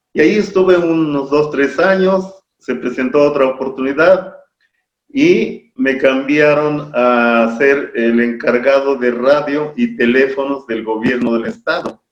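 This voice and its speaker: A man speaks very slowly in a fairly high voice. His pitch rises and falls an ordinary amount. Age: 70s. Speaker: local historian. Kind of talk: interview.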